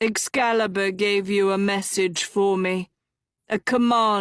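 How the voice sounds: Against a quiet background, someone reads naturally with fairly even intonation.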